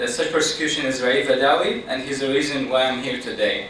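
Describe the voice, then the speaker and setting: Against noticeable background noise and audible room echo, a man with an Iraqi accent speaks at a fairly high pitch. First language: Arabic. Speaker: activist speaker. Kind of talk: public talk. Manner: halting, many fillers.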